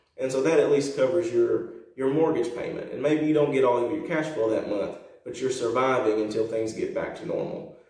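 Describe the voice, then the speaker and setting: Room echo is audible in the recording. A man speaks at a fairly quick pace. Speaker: real estate investor. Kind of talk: casual vlog talk. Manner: halting, many fillers and repetitions.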